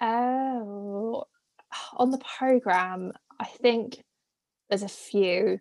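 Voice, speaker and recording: In a dry, close sound with no echo, a woman with a British accent speaks at a very slow pace with long, frequent pauses, her fairly high pitch varying in an ordinary way. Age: 20s. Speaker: former theme park and cruise ship worker. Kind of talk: casual interview chat.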